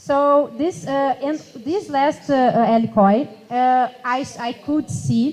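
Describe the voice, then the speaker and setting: Speaking at a very slow pace, a woman with a Portuguese accent uses a high pitch and lively intonation. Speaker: youth climate activist. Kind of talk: panel discussion. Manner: halting.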